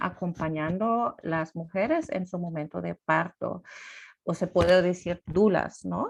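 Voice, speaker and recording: Over a quiet background, a woman with a non-native accent speaks at a very slow pace and a fairly low pitch. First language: not Spanish (speaking Spanish). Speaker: birth rights activist, doula. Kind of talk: presentation. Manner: halting, many fillers.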